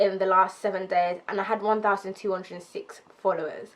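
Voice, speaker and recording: The woman's speech moves along at a fairly quick pace. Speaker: lifestyle YouTuber. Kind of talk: casual vlog talk to camera. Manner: fast; casual, many fillers like um.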